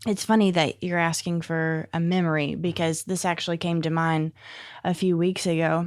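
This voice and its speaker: A woman with a Southern US accent speaks at a moderate pace, her pitch fairly low and her intonation fairly even. The recording is very clean, with a silent background. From Northeast Arkansas. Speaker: addiction support home director. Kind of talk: interview answer.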